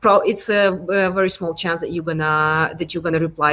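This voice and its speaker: A woman speaks with a Ukrainian accent at a medium pitch. Her intonation stays flat and monotone at a moderate pace. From Ukraine. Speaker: product design lead. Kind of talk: interview. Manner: hesitant, many fillers.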